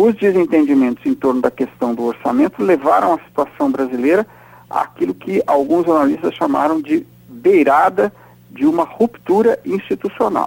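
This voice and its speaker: At a moderate pace, a man speaks in a high voice with very wide pitch swings, captured in a dry, close sound with no echo. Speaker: political scientist and professor, weekly radio commentator. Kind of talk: radio commentary interview. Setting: recorded radio interview.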